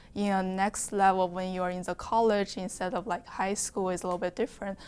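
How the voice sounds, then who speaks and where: A woman speaks at medium pitch with a Chinese accent. Her intonation is monotone and flat, and the recording is very clean with a silent background. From China. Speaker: nursing student. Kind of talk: interview testimony.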